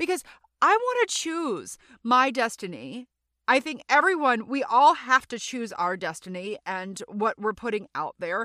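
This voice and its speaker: In a very clean recording with a silent background and a dry, close sound with no echo, a woman with an American accent speaks loudly at a fairly slow pace, her high voice animated and swinging very widely in pitch. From Louisiana. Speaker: podcast host, actor and comedian. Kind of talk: solo casual monologue. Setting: recording booth.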